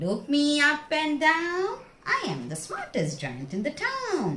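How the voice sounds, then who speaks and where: A woman puts on a character voice. Her delivery is sing-song. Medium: read story. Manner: cheerful, sing-song.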